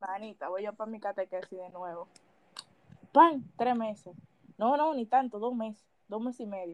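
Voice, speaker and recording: A woman's fairly high voice at a moderate pace, with ordinary pitch variation, big swings in loudness and long, frequent pauses. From Dominican Republic. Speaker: podcast co-host. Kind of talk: casual chat.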